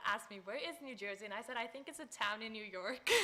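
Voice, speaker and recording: A woman's fairly high voice with a South African accent. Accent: South African (Afrikaans) English. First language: Afrikaans. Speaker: college student. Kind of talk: panel discussion.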